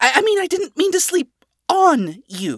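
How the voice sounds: A put-on character voice swings very widely in pitch at a fairly slow pace on a very clean recording with a silent background. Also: fairly bright tone.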